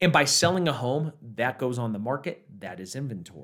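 In a very clean recording with a silent background, a man at medium pitch talks at a moderate pace with very wide pitch swings. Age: 30s. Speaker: podcast host, real estate professional. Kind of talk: solo podcast monologue.

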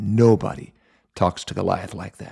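This man uses a put-on character voice that is raspy and growling, pitched fairly low. He talks at a moderate pace. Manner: growling, menacing.

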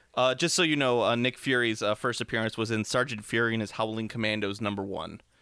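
This man talks at a very fast pace with hardly any pauses. His medium-pitched voice has a bright, sharp tone. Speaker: comic book podcast host. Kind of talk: casual chat. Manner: animated.

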